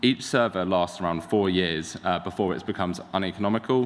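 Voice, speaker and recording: The speaker is a man with a fairly low pitch. He keeps a moderate pace. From London. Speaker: tech startup founder. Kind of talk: conference talk. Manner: hesitant, many fillers.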